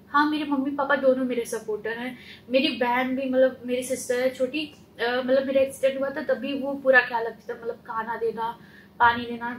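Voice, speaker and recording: Pitched high, a woman speaks at a moderate pace in a monotone, flat intonation. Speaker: trainee with visual impairment. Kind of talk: interview answer.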